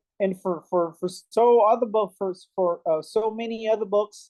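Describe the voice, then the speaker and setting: The speaker has a Haitian accent and talks at a fairly slow pace. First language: Haitian Creole. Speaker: English learner. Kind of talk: conversation practice. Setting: video call.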